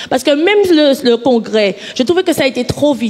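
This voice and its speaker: Noticeable background noise beneath a fairly quick delivery. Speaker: audience participant in public debate. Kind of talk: public debate speech. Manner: halting, many repetitions.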